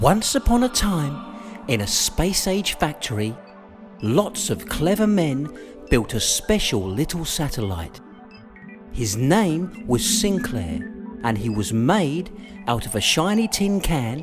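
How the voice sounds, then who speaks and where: A man speaks at a fairly high pitch and a very slow pace, his voice swinging very widely in pitch, with long, frequent pauses and music playing in the background. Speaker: voiceover artist and writer. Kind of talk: children's audiobook narration.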